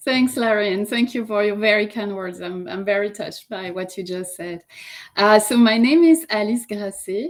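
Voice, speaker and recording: Speaking at a moderate pace, a woman uses a medium pitch and ordinary pitch variation, her loudness swinging widely. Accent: French. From France. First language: French. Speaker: yoga teacher and life coach. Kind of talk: interview.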